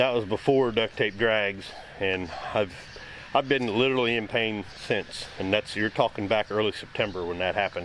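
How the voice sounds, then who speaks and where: A man with a fairly low pitch talks at a moderate pace, his intonation fairly even amid noticeable background noise. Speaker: car restoration YouTuber. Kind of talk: casual garage vlog. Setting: outdoors in driveway. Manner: casual, rambling.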